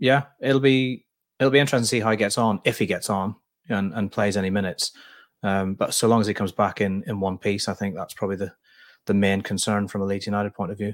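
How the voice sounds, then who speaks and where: Recorded very cleanly against a silent background, a man with a normal speaking voice and fairly low pitch talks at a fairly quick pace with fairly even intonation, the sound dry and close with no echo. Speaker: football journalist and co-host. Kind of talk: casual football podcast chat.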